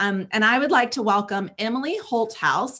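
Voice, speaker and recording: With a slight Southern US accent, a woman speaks in a bright, sharp tone at a fairly high pitch. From US South (South Carolina). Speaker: show co-host. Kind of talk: interview.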